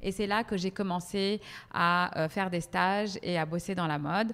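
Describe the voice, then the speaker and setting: A woman talks at a medium pitch and moderate pace on a very clean recording with a silent background. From Paris, France. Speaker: PR professional and tablescaping influencer. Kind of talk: interview. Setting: podcast. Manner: hesitant, many fillers.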